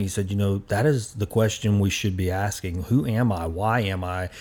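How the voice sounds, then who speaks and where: Here is a man with an unremarkable speaking voice, fairly low in pitch and fairly quick in pace. His pitch varies in an ordinary way, and the recording is very clean with a silent background. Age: 40s. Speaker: podcast host. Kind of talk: casual chat. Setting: studio.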